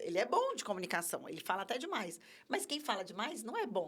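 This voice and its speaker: Spoken in an energetic tone, the words come at a fairly quick pace. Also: woman. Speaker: communication trainer, company co-founder. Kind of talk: podcast interview. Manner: energetic, expressive.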